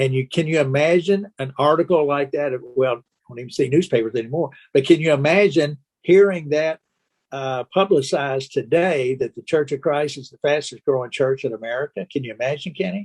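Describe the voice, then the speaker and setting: A man's fairly high voice in a Kentucky accent, fairly quick in pace, with ordinary pitch variation, big swings in loudness, and a dry, close sound with no echo. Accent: US Southern (Kentucky). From Kentucky (Owensboro). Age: 70s. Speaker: podcast host, church evangelism. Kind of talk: interview conversation. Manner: halting, many fillers and repeats.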